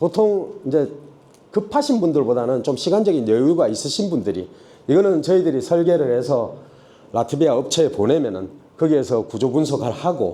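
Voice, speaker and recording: A man's dark, mellow tone at a fairly high pitch with vocal fry, very wide pitch swings and a moderate pace, in audible room echo. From Daegu, South Korea. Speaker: construction company CEO. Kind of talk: seminar presentation. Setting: stage at trade expo seminar. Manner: casual, conversational.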